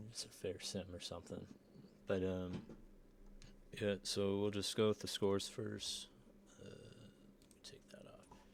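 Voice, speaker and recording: A man talks at a fairly slow pace. He leaves long, frequent pauses. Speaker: sim football league recap host. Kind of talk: casual sports recap. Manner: monotone.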